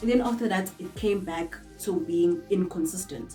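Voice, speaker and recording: Over music in the background, a woman speaks at a moderate pace and a fairly low pitch. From South Africa. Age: 20s. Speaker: makeup artist. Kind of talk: casual talk to camera.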